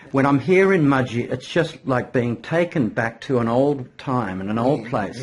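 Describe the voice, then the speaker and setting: Here a man speaks with an Australian accent at medium pitch. He goes at a fairly slow pace with ordinary pitch variation. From Australia, New South Wales. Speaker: marketing consultant. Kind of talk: interview host talk.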